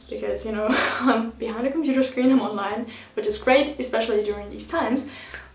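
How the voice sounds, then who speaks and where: Over noticeable background noise, a woman talks at a fairly quick pace and fairly high pitch, her intonation fairly even while her loudness swings widely. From Germany. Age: young. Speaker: freelance video editor and student. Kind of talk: casual talk to camera.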